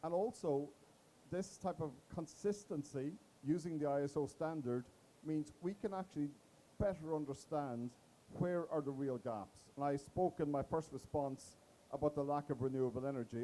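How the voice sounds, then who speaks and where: Pausing long and often, a man speaks at a moderate pace in a fairly high, dark, mellow voice with ordinary pitch variation. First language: not English. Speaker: panelist from a business advisory firm. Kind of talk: panel discussion.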